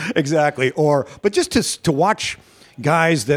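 With an animated tone and lively intonation, a man speaks at a fairly high pitch in a dry, close sound with no echo. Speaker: stand-up comedian. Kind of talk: casual chat. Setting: coffee shop.

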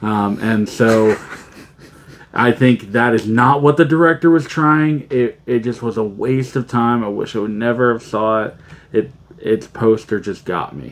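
At a fairly slow pace, a man with a plain, everyday voice talks at a medium pitch with ordinary pitch variation. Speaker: podcast co-host. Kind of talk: casual chat.

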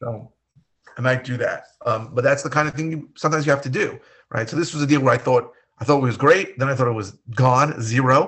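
A man with a plain, everyday voice and an American accent, at a fairly quick pace with ordinary pitch variation. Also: medium pitch for a man. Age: 50s. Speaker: real estate investor and podcast co-host. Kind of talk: casual chat.

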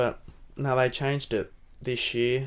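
Soft-spoken and fairly slow, a man talks with an Australian accent. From Devonport, Tasmania. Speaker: AFL footballer. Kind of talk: casual interview chat. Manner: softly spoken, shy.

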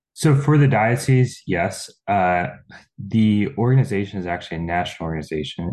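This man has a plain, everyday voice with an American accent and a fairly low pitch. He speaks at a moderate pace with lively intonation. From Pennsylvania, Lancaster County. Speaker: data analyst, young professionals group organizer. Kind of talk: casual interview.

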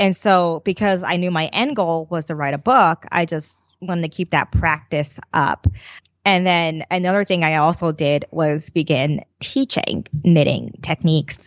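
With an American accent, a plain, everyday voice speaks at a fairly slow pace, the sound dry and close with no echo. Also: woman, fairly low pitch for a woman, ordinary pitch variation. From New Jersey. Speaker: knitting designer and teacher. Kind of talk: casual interview.

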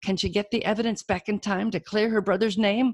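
Recorded with a dry, close sound, no echo and a quiet background, a woman with an American accent and vocal fry speaks at a moderate pace. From Alabama. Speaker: podcast host and indie author. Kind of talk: podcast host chat and intro. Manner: casual, chatty.

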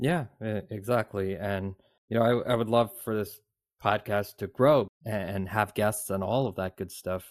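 A man speaks at a fairly low pitch, fairly slowly and with fairly even intonation. It is a normal speaking voice. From Canada. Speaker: podcast co-host, father. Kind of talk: casual chat.

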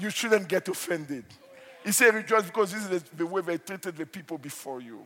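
With noticeable background noise behind him, a man talks at a fairly quick pace in a high pitch, with lively intonation and big swings in loudness. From Nigeria. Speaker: pastor. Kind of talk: sermon. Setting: church.

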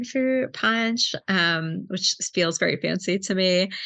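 A woman speaks at a medium pitch with a bright, sharp tone and ordinary pitch variation. The background is quiet. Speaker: librarian and book club founder. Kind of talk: casual interview chat.

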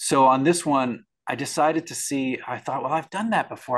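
A man's unremarkable speaking voice at a moderate pace against a quiet background. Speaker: composer. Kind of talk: panel discussion.

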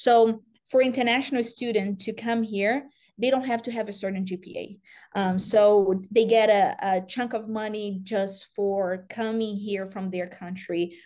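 A woman speaks with a dark, mellow tone and fairly even intonation. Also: quiet background. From Brazil. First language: Portuguese. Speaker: college soccer coach. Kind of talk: interview.

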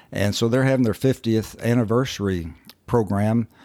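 In a Southern US accent, a man with a fairly low pitch and ordinary pitch variation talks at a moderate pace, recorded very cleanly against a silent background with a dry, close sound and no echo. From Kentucky, US. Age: 70s. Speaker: recovering alcoholic. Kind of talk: testimony.

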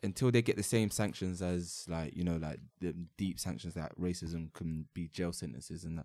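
In a London accent, a man with a very deep, low pitch and a dark, mellow tone talks at a moderate pace with ordinary pitch variation and hardly any pauses. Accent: London English (multicultural London English). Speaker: podcast host. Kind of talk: casual chat.

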